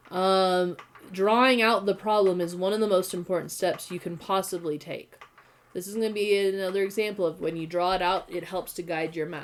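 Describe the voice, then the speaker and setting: With noticeable background noise behind her, a woman speaks at a fairly quick pace in a medium pitch, her intonation fairly even. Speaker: high school math and physics teacher. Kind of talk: online class lecture.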